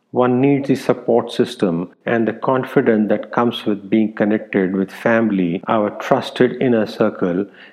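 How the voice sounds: Fairly low-pitched male voice, slightly mellow in tone, with fairly even intonation, a fairly slow pace, and few pauses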